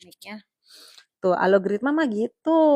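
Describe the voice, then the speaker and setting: This woman speaks at a fairly quick pace. Her intonation is lively. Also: dry, close sound with no echo. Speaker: live streamer. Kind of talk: casual live stream chat. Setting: solo live stream. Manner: chatty, nonstop talking.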